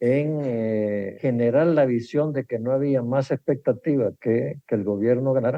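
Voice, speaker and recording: A man speaks at a medium pitch, and his pitch moves with ordinary variation. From El Salvador. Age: 80s+. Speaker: economist and former politician. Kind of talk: interview.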